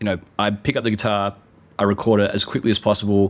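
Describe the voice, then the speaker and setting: Fairly low in pitch, a man talks at a fairly quick pace with an Australian accent. His intonation is monotone and flat. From Australia (Adelaide, partly Sydney). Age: 40s. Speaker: musician. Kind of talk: interview.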